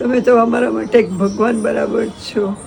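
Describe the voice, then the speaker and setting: Through noticeable background noise and audible room echo, a woman speaks in a fairly high voice. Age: 60s. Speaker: elderly aid recipient. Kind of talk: interview testimony.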